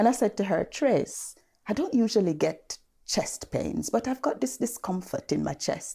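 A woman speaks at a moderate pace in a dark, mellow tone with vocal fry. Her pitch swings very widely. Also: medium pitch for a woman. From Leicester, East Midlands. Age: 50s. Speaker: GP. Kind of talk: panel discussion testimony.

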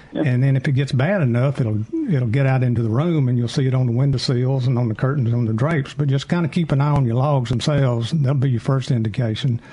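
A man with a medium pitch talks at a very fast pace with hardly any pauses and very even loudness. Noticeable background noise is present. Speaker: chimney sweep expert. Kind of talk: call-in advice show.

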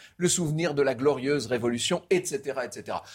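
The recording is very clean with a silent background. A man speaks fairly slowly in a somewhat breathy voice. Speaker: history storyteller. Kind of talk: history talk show.

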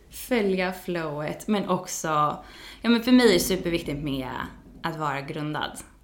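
In a room with audible echo, a woman with a fairly low pitch speaks at a moderate pace, using lively intonation and long, frequent pauses. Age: 30s. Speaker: yoga teacher. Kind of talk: casual chat.

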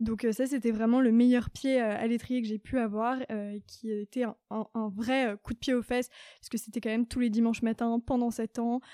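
Close and dry with no echo, a woman's fairly high voice holds a monotone, flat intonation. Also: moderate pace. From Paris region, Saint-Germain-en-Laye. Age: 20s. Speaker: chief of staff at a startup. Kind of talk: interview. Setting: company showroom.

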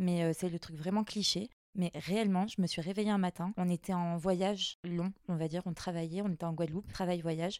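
Close and dry with no echo, a woman's plain, everyday voice moves at a fairly quick pace. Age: 30s. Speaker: pharmacist. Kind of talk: casual chat. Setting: chalet bedroom recording.

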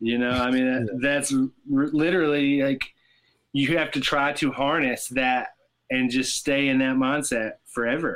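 A man with a Southern US accent speaks at a moderate pace, his pitch fairly high. His intonation is monotone and flat, with very even loudness. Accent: Southern American. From US South, Tennessee. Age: 30s. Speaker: rock guitarist. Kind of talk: casual chat.

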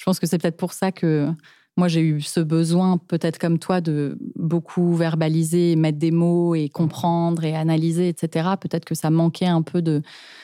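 A woman's fairly low, dark, mellow voice, monotone and flat, at very even loudness, in a dry, close sound with no echo. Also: moderate pace, very clean recording, silent background. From France. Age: 30s. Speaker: podcast guest. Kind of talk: casual chat. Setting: studio.

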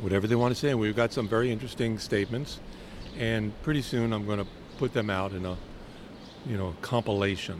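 A man with an American accent, fairly low in pitch, at a very fast pace with long, frequent pauses and noticeable background noise. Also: fairly even intonation. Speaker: podcast host. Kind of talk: casual chat. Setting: outdoors.

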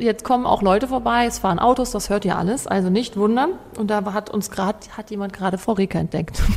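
Amid noticeable background noise, a woman speaks at a very fast pace with medium pitch and ordinary pitch variation. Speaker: podcast host. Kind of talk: interview; scripted narration.

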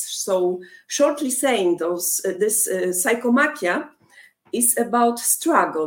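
A woman with a Polish accent speaks at a very slow pace with ordinary pitch variation. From Poland. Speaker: rock band lead singer. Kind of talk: interview.

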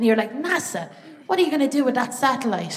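Over noticeable background noise, a woman with an Irish accent speaks with ordinary pitch variation. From Ireland. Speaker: stand-up comedian. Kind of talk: stand-up. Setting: theatre stage with live audience.

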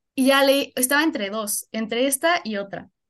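The intonation is lively, and the background is quiet. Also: woman. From Mexico, Puebla. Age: 20s. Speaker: university student. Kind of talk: casual chat.

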